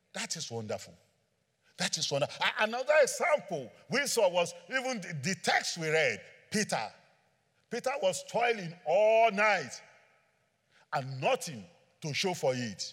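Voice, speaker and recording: With long, frequent pauses, a man talks in a high pitch across very wide pitch swings. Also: fairly slow pace. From Nigeria. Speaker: preacher. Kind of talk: sermon. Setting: church with congregation. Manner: animated, joking with audience.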